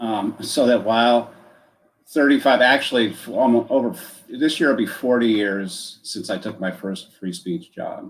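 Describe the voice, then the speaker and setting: Using an ordinary speaking voice with an American accent, a man at a medium pitch speaks at a moderate pace, with ordinary pitch variation and big swings in loudness. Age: 60s. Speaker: author. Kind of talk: interview.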